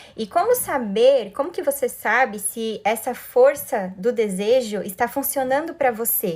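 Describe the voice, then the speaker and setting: A woman speaks with hardly any pauses at a high pitch. Her intonation is lively. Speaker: life coach. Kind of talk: live stream talk. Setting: live stream. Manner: fast.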